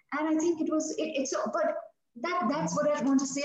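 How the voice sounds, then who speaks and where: A woman's high voice at a fairly quick pace, with audible room echo. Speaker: author and former news anchor. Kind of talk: interview.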